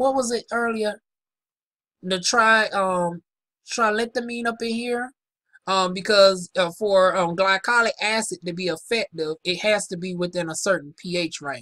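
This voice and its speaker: A woman with a Southern US accent talks at a fairly slow pace, her bright, sharp tone showing ordinary pitch variation in a dry, close recording with no echo. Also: medium pitch for a woman. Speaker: aesthetician. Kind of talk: casual product review. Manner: casual, halting.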